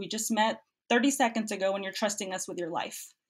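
A normal speaking voice with an American accent moves at a fairly quick pace with fairly even intonation on a very clean recording with a silent background. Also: woman. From Cuba, raised in the US. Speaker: medical student. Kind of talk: interview.

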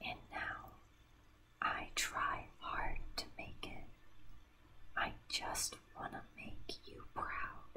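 A woman whispers at a very slow pace, with long pauses coming often. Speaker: ASMR creator. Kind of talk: ASMR whispered reading of song lyrics. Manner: whispered. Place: home room. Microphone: studio mic.

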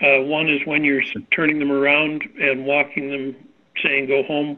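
A man speaks at a moderate pace in a fairly high voice. His intonation is monotone and flat. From Canada. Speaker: safety consultant. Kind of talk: panel discussion.

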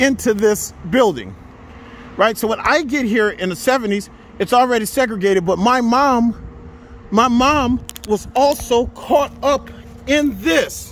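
An extremely high-pitched man talks at a fairly slow pace with ordinary pitch variation, in a dry sound with no echo and light background noise. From New Orleans. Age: 50s. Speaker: history educator. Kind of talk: walking tour video lecture. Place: street. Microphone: phone near.

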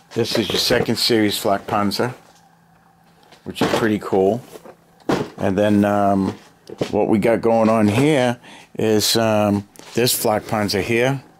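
A man's very slow, monotone, flat delivery with long, frequent pauses and very even loudness over noticeable background noise. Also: fairly low pitch for a man. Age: 50s. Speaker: hobbyist video maker. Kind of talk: casual show-and-tell. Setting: home basement. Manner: relaxed, hesitant with fillers. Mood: relaxed, nostalgic. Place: home room. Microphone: phone near.

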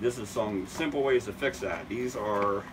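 Ordinary pitch variation from a man, with noticeable background noise. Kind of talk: tutorial. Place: shop. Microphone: phone near.

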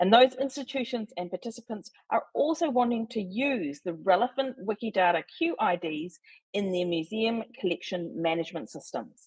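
A woman with a New Zealand accent speaks at a moderate pace against a quiet background. Her voice is somewhat breathy and swings very widely in pitch. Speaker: volunteer wiki editor. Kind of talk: presentation. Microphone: video call.

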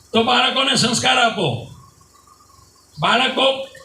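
Through audible room echo and noticeable background noise, a man speaks in an animated tone. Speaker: religious preacher. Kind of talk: sermon.

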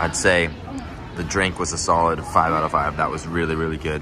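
Over noticeable background noise, a man talks at a very fast pace in a very deep, low pitch. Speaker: theme park vlogger. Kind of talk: casual vlog chat. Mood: upbeat, enthusiastic. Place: street. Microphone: phone near.

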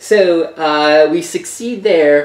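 Amid audible room echo, a man talks slowly with ordinary pitch variation and a slightly mellow tone.

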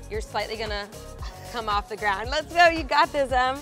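Clear music plays behind a woman who speaks at a fairly quick pace. Her pitch variation is ordinary, and the sound is dry with no echo. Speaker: fitness coach. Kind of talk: workout coaching instructions.

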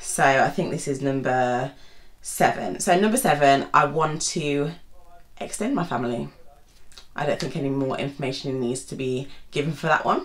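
Speaking at a moderate pace with long, frequent pauses, a woman with a British accent has a very deep, low voice and ordinary pitch variation. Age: 20s. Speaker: YouTuber and GP doctor. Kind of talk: casual vlog monologue. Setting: seated at home.

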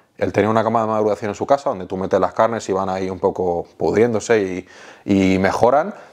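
A man speaks very fast at a fairly low pitch, his intonation fairly even against a quiet background. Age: 30s. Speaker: food content creator; interviewee, food content creator. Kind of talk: casual interview. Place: home room. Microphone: lapel.

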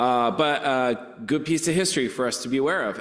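Moderate pacing from a male speaker, with a quiet background. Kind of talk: church announcements. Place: church. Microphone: podium.

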